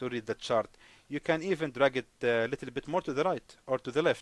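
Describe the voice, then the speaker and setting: Recorded with a dry, close sound and no echo, a man talks at a moderate pace with a non-native accent and ordinary pitch variation. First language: not English. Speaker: forex trading teacher. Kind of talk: screen-share tutorial. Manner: halting, many fillers.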